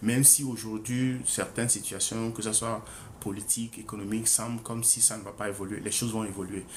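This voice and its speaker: Man at a fairly quick pace, medium-pitched, with audible room echo. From Togo. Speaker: author presenting his book. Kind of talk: book presentation livestream. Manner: hesitant, many fillers and repetitions.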